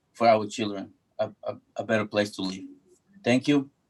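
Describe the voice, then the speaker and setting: A man talks with a Spanish accent. His pace is moderate. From Ecuador. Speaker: public commenter, local business owner. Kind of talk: public comment at community meeting. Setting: video call. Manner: halting.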